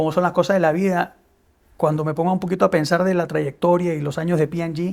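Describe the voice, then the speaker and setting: A man's high-pitched, fairly quick, monotone, flat delivery on a very clean recording with a silent background. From Peru. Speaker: business executive. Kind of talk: interview. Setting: studio. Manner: hesitant, many fillers and repetitions.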